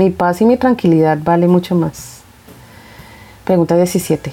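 The speaker moves at a very slow pace. Noticeable background noise runs through the clip. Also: woman. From Colombia, Bogotá. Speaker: podcast host. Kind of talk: casual monologue, Q&A.

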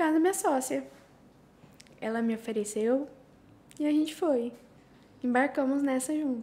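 Pausing long and often, a woman with a high pitch speaks at a moderate pace with ordinary pitch variation. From Brazil, Curitiba (Paraná). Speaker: teacher and social media creator. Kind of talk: casual chat.

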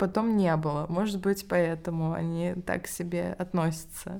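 A woman talks at a fairly slow pace in an ordinary speaking voice. Her pitch varies in an ordinary way, and the recording is very clean with a silent background. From Russia, Ryazan. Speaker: English teacher and education entrepreneur. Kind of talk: interview.

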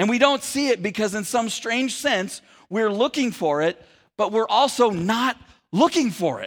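Over a silent background in a very clean recording, a man with an American accent speaks at a moderate pace, his pitch high and his intonation lively. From Sacramento area, California. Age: 40s. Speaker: pastor. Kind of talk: sermon. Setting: church.

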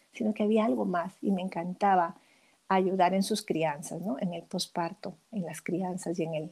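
A woman speaks at a moderate pace with a fairly low pitch and ordinary pitch variation. The recording is very clean and the background silent. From Peru. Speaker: midwife and author. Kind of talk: interview. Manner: halting, with frequent repetitions.

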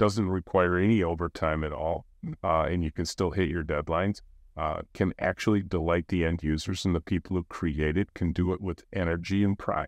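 Speaking at a moderate pace in an American accent, a man with a very deep, low voice is heard in a dry, close recording with no echo and a quiet background. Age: 60s. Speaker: company CEO and author. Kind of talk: interview conversation. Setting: in person at the guest's office.

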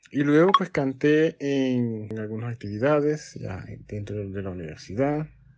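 The man's loudness swings widely. He speaks at a fairly slow pace. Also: medium pitch for a man. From Panama, Colón. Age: 40s. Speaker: music teacher and choir director. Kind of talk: interview. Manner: halting, with repetitions.

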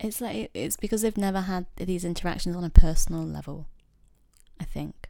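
This voice has a dark, mellow tone and lively intonation, moving at a fairly quick pace in a Yorkshire accent. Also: woman, fairly low pitch for a woman. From Yorkshire, northern England. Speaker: guest. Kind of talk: casual conversation.

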